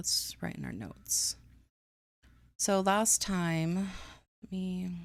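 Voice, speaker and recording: A woman mumbles in a soft-spoken voice at a very slow pace. The recording is very clean, with a silent background. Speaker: streamer writing a book. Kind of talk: casual live stream chat. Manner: quiet, soft-spoken; mumbling.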